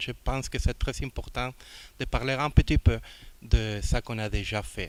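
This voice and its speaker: A man with a non-native accent speaks fairly slowly. His pitch is medium and his intonation fairly even. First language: not French (speaking French). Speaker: international organization director. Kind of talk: formal speech. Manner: halting.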